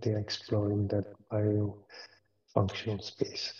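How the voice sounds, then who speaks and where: Soft-spoken and somewhat breathy, a man talks at a fairly slow pace with a fairly low pitch and a dark, mellow tone. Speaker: professor. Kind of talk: lecture. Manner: hesitant, many fillers.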